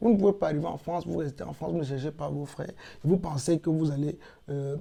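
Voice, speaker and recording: A man with a Cameroonian accent speaks at a fairly high pitch with ordinary variation. His tone is dark and mellow, and somewhat breathy. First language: Yemba (speaking French). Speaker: cultural advocate, platform founder. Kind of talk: interview.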